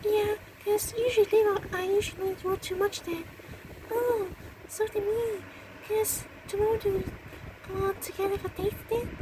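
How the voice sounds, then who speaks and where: A put-on character voice that sounds female, pitched extremely high, moves at a moderate pace with long, frequent pauses over clear background noise. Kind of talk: amateur fan roleplay. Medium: audio drama. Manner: halting, hesitant, full of ums and uhs.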